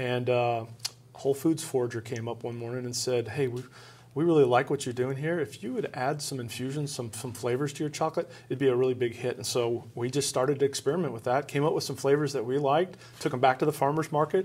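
At a very fast pace, a man talks with fairly even intonation. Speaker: chocolate company founder. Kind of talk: interview. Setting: studio. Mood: friendly, enthusiastic. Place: studio.

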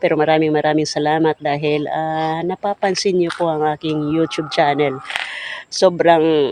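A man with a fairly high pitch speaks at a moderate pace in a flat monotone. The sound is dry and close with no echo, though background noise is noticeable. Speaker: vlogger. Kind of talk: casual vlog talk to camera. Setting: outdoors by the roadside. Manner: hesitant, many fillers.

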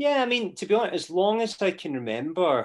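A man with a Scottish accent and lively intonation at a moderate pace over a quiet background. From Scotland. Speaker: actor. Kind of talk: casual interview chat. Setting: video call. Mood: reflective, candid. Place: home room. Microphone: video call.

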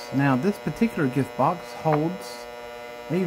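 A man at a fairly slow pace with ordinary pitch variation, over noticeable background noise. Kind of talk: magic trick patter. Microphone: phone near.

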